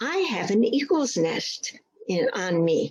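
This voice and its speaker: A woman does a put-on character voice pitched fairly high. It swings very widely in pitch at a fairly slow pace. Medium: read story.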